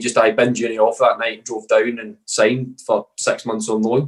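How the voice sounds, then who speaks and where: A man with a Scottish accent, speaking with hardly any pauses. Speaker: professional footballer. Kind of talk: podcast interview, casual chat. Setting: podcast recording. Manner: monotone.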